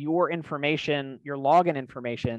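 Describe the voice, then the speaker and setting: A man talks at a fairly quick pace with fairly even intonation, in a dry sound with no echo and a quiet background. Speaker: tech company host. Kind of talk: explanatory tech talk. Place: home room. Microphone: headset.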